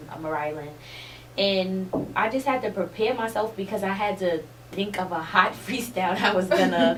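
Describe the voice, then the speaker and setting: Noticeable background noise and audible room echo surround a woman speaking at a medium pitch and moderate pace with ordinary pitch variation. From New York City, Harlem. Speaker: rapper and reality TV cast member. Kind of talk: interview. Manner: casual, filler-heavy speech.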